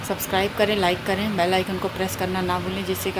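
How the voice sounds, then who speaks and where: A soft-spoken woman at medium pitch and a moderate pace, monotone and flat, with noticeable background noise. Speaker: family vlogger. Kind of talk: casual vlog talk. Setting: at home. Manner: soft-spoken, quiet.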